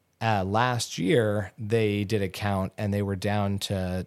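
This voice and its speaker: A man's fairly low, normal speaking voice with an American accent and fairly even intonation, on a very clean recording with a silent background. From Southern California. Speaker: ecologist, conservation researcher. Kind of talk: casual interview chat. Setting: in person, Alaska.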